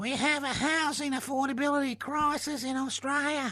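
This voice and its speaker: The speaker uses a high-pitched, put-on character voice. The pace is moderate. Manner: mocking, exaggerated.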